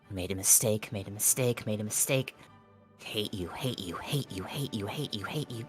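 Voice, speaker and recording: A put-on character voice, low in pitch, at a moderate pace over clear background music. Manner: frantic, unhinged, repetitive.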